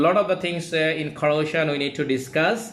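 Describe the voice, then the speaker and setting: Audible room echo hangs around this man's voice as he talks. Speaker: engineer teaching online class. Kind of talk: lecture. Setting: live online class. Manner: halting.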